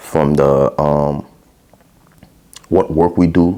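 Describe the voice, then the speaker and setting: The speaker is a man. He talks with a Haitian accent. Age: 30s. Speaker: podcast host. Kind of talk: casual solo podcast monologue. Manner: casual, filler-heavy.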